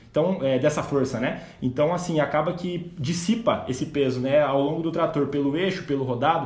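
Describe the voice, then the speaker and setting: Noticeable background noise and audible room echo surround a man with a fairly high voice. He speaks at a moderate pace with ordinary pitch variation. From southern Brazil (Rio Grande do Sul). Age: 20s. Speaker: agricultural consultant and company co-founder. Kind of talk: casual podcast interview.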